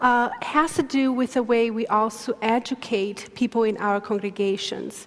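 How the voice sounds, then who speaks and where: A woman's fairly high voice with fairly even intonation and hardly any pauses, over noticeable background noise. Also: moderate pace. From Brazil. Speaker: theology professor. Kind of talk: lecture Q&A.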